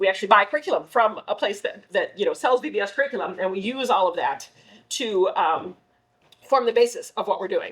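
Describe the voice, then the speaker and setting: Her pace fairly quick, a woman talks with ordinary pitch variation. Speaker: children's ministry director. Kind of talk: volunteer training briefing. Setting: church. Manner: fast.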